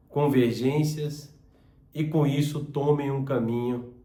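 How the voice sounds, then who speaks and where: With audible room echo, a man speaks at a very slow pace in a somewhat breathy voice, with fairly high pitch and fairly even intonation. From southern Brazil, Joinville, Santa Catarina. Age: 50s. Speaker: business channel host, former business owner. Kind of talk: personal introduction monologue.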